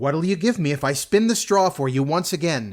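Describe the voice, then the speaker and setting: Putting on a character voice, a man speaks at a moderate pace in a fairly high pitch with very wide pitch swings. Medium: read story. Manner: sly, wheedling.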